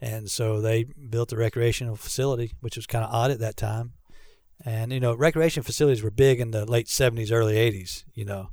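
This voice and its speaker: The voice has a dark, mellow tone and sounds somewhat breathy, moving at a fairly quick pace. The recording is very clean, with a silent background. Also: man. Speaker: pastor of recreation. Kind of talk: casual interview chat. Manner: joking, playful.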